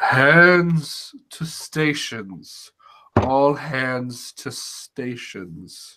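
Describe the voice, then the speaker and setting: Shouting in a put-on character voice, a man speaks at a very slow pace with a fairly high pitch. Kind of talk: slow voice.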